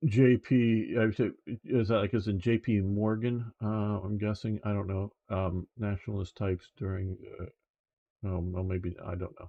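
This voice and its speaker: Somewhat breathy and fairly low-pitched, a man with an American accent speaks fairly slowly with fairly even intonation. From United States. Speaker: news commentary streamer. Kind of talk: live stream commentary. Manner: halting, many fillers.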